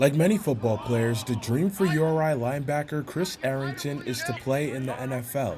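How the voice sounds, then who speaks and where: There is noticeable background noise as a man speaks in a fairly high pitch with hardly any pauses. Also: ordinary pitch variation, fairly quick pace. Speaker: sports reporter. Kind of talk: sports news montage.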